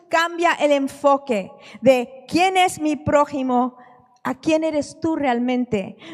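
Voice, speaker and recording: A woman speaks at a high pitch over noticeable background noise. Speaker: preacher. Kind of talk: sermon.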